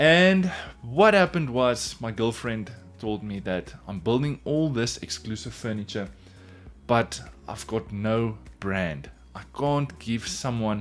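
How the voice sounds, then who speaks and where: A man with a South African accent talks at a fairly slow pace with lively intonation as music plays in the background. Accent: Afrikaans South African. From South Africa, Pretoria. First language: Afrikaans. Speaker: woodworker and furniture maker, YouTuber. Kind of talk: casual vlog narration.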